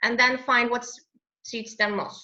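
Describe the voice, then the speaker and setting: A woman speaks with a non-native accent, her pitch high and her tone bright and sharp. Her intonation stays fairly even. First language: not English. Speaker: English teacher. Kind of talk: interview answer.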